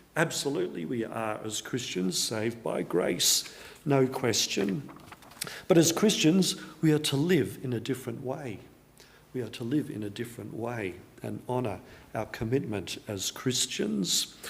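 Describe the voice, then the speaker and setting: A man's medium-pitched voice in an Australian accent, with very wide pitch swings and big swings in loudness, audible room echo and noticeable background noise. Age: 60s. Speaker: pastor. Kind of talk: sermon.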